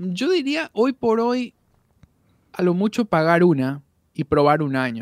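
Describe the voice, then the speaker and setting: A man's high voice at a very slow pace, with very wide pitch swings and long, frequent pauses. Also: dry, close sound with no echo. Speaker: voice actor and audio producer. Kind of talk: casual interview chat.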